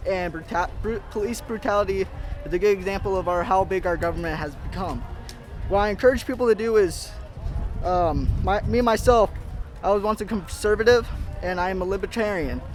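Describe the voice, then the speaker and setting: Over music in the background, a man with a high pitch talks at a fairly quick pace with fairly even intonation. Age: 20s. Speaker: protester. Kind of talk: street interview.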